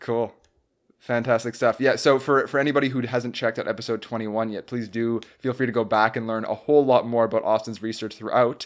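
Flat and monotone, a man talks at a very fast pace in a medium pitch. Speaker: podcast host. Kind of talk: casual interview.

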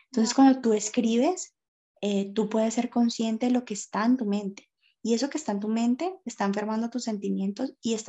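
Fairly quick, somewhat breathy speech from a woman, fairly high in pitch with ordinary pitch variation. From Colombia, Cali. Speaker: makeup artist and makeup teacher. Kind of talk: casual interview on faith and depression.

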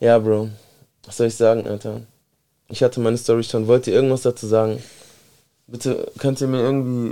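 At a fairly quick pace, a man with a medium pitch and a dark, mellow tone talks with big swings in loudness and long, frequent pauses. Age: 30s. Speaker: podcast host. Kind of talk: casual chat. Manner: animated.

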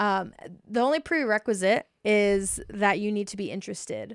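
Someone speaks with an American accent at a fairly slow pace and ordinary pitch variation. The recording is very clean, with a silent background. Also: woman. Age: 30s. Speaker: teacher. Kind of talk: casual chat. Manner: loud when comfortable.

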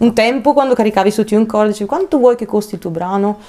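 This woman talks very fast at a fairly high pitch, her intonation lively. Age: 30s. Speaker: singer. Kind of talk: casual chat.

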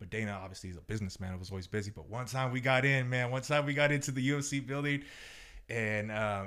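Background silence and a very clean recording frame the clip. A man races along at a very fast pace, with ordinary pitch variation. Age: 30s. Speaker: podcast guest, food vendor. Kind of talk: casual chat.

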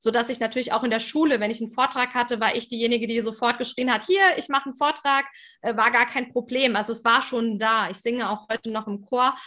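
A woman speaks at a very fast pace in a high pitch. Her tone is bright and sharp, and her intonation stays fairly even. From Germany. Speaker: business mentor and speaker. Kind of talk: interview conversation. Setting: video call, speaking standing.

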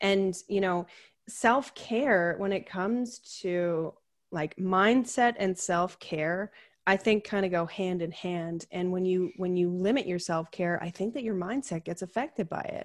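This is a plain, everyday voice with ordinary pitch variation at a fairly slow pace. The background is quiet. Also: woman, medium pitch for a woman. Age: 30s. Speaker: chronic illness advocate and podcaster. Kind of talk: casual interview chat.

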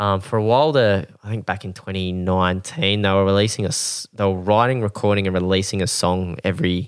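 A man's fairly low voice in an Australian accent at a fairly quick pace, with ordinary pitch variation on a very clean recording with a silent background. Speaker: podcast host. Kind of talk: casual chat.

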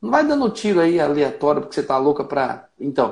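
A man with a high pitch speaks at a moderate pace. His pitch swings very widely, and the background is quiet. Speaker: pastor. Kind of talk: live-stream sermon chat.

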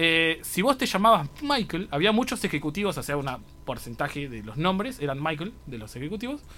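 With a high pitch and a bright, sharp tone, a man talks at a fairly quick pace, his pitch swinging very widely and his loudness swinging a lot. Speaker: university radio host. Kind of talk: casual radio chat.

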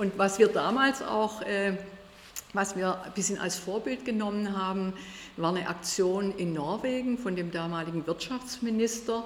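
A woman speaks at a moderate pace with a medium pitch and ordinary pitch variation. Noticeable background noise runs under her voice. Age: 60s. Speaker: state politician. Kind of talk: interview.

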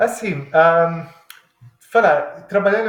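Somewhat breathy, a man with an Italian accent speaks at a very slow pace. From Italy, Milan. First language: Italian (speaking Portuguese). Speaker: engineering professor turned cook. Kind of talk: casual interview. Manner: halting.

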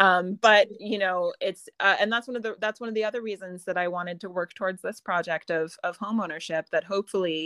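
An ordinary speaking voice from a woman with an American accent, medium in pitch with ordinary pitch variation, dry and close with no echo in a very clean recording over a silent background. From US. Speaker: author and writing teacher. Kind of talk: casual interview chat.

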